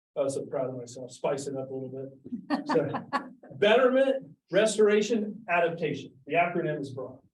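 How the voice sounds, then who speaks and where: With audible room echo, a man's high voice moves through very wide pitch swings and big changes in loudness. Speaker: accountant. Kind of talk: presentation. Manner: fast; animated.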